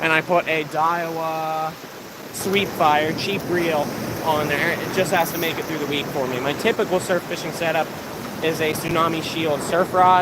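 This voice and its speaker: With an American accent, a man speaks in a fairly high, flat monotone at a moderate pace over noticeable background noise. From Pennsylvania. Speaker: fishing YouTuber. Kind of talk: live stream chat. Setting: outdoors on a beach. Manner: casual.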